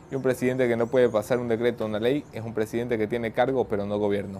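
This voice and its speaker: Over light background noise, a man speaks very fast with fairly even intonation. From not from Guayaquil. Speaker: journalist and show host; news show host. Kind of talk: news monologue; interview. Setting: studio in Guayaquil.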